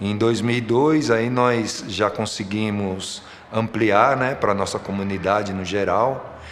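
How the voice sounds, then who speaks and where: Amid noticeable background noise and audible room echo, a man speaks at a very slow pace, his pitch fairly low and his intonation fairly even. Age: 60s. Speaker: football coach and referee. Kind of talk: documentary interview testimony.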